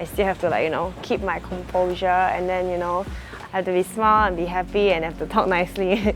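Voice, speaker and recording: A woman's medium-pitched, very fast speech in a Singaporean accent, with music in the background. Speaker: live-stream auctioneer / seller. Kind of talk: casual talk to camera, documentary interview.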